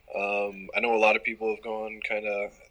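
With an American accent, a man speaks fairly slowly over noticeable background noise. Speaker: college sports writer. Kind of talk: casual sports interview.

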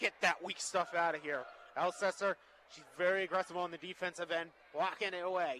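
A man with an American accent speaks high for a man, in a bright, sharp tone and a fairly quick pace. His intonation is monotone and flat, yet his loudness swings widely. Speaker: color commentator. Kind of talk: live commentary. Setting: courtside at a high school gym.

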